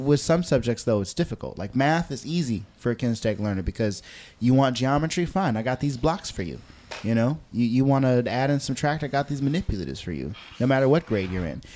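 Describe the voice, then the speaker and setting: Speaking very fast, a man uses lively intonation in a dark, mellow tone. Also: medium pitch for a man. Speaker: podcast host and high school worker. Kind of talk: casual interview.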